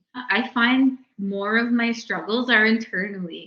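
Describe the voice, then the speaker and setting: Speaking in a Maritime Canadian accent, a woman uses a fairly high pitch. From New Brunswick, Mi'kmaq community. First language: Mi'kmaq. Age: young. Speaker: lawyer. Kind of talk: interview. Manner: halting.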